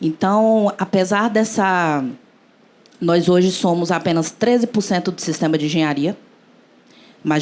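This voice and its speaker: Fairly slow speech from a woman with a fairly low pitch, ordinary pitch variation, and long, frequent pauses. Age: young. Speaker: engineer and cooperative founder. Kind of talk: panel discussion.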